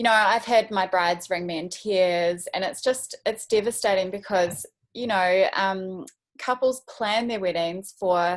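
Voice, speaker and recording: A woman with a New Zealand accent talks at a fairly slow pace. Her pitch is medium, with ordinary pitch variation. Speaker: wedding photographer. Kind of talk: casual interview. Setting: video call.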